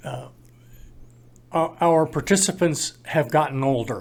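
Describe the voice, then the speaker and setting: A man with a fairly high voice and a Midwestern US accent speaks at a very slow pace. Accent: US Midwest. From Iowa. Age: 70s. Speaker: parenting program volunteer. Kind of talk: interview. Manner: halting.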